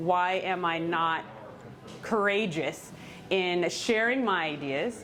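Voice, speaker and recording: A woman speaks very slowly, with a fairly low pitch and long, frequent pauses. Audible room echo surrounds her voice. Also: ordinary pitch variation. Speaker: keynote speaker and former teacher. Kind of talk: Q&A after a talk. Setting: live event in a coffee shop with audience.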